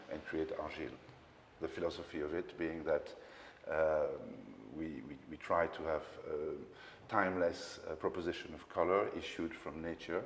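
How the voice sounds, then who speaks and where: A man speaks with a Belgian French accent at a moderate pace. He pauses often and at length. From Belgium. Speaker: paint company founder. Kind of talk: interview. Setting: showroom. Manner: hesitant, many fillers.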